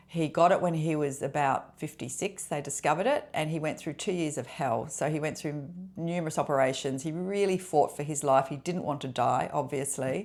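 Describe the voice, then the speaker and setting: Speaking at a fairly quick pace, a woman with a very deep, low pitch comes through on a very clean recording with a silent background. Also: ordinary pitch variation, hardly any pauses. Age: 60s. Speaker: lifestyle vlogger. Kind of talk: personal vlog monologue. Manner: conversational, with fillers.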